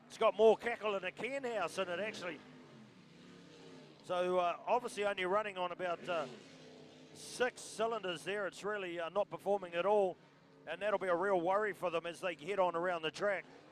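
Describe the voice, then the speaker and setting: A man with a New Zealand accent and a high voice, talking at a fairly quick pace with long, frequent pauses, music in the background. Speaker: motorsport commentator. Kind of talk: live commentary. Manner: animated.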